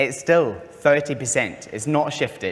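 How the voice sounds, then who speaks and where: A man with a Scottish accent speaks in a room with audible echo. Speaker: fintech company founder. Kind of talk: conference presentation. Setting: conference stage with audience.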